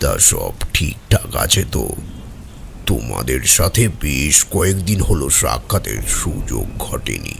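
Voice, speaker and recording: Putting on a character voice, a man speaks at a fairly slow pace with a very deep, low pitch over clear background noise. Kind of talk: audio drama dialogue.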